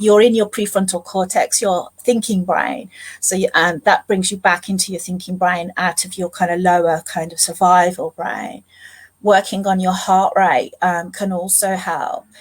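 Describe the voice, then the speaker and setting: Somewhat breathy and medium in pitch, a woman talks at a moderate pace with fairly even intonation. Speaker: family therapist. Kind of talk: interview on live stream. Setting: live online event.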